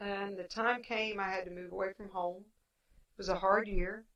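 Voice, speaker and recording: A woman speaks in an Appalachian accent at a medium pitch. Her pace is moderate and her intonation fairly even. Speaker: podcaster, former teacher. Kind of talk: personal monologue podcast.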